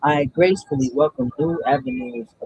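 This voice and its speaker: A man's normal speaking voice at a medium pitch with ordinary pitch variation, dry and close with no echo. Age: 30s. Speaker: spiritual content creator doing card draws. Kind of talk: casual spiritual card reading livestream. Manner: casual, meandering with fillers.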